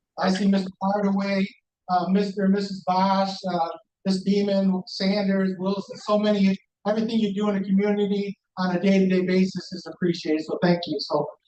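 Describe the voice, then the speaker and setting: A loud man with a high-pitched voice, a monotone, flat delivery and a fairly quick pace. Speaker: police commander. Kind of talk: community meeting report.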